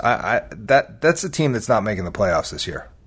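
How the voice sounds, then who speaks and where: A man with a fairly high-pitched voice speaks at a moderate pace. His pitch swings very widely, with vocal fry. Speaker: hockey podcast co-host. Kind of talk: casual chat.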